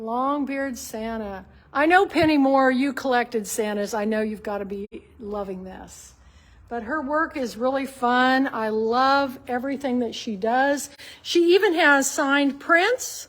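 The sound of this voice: Her tone fairly bright and her pitch high with ordinary variation, a woman speaks at a fairly slow pace.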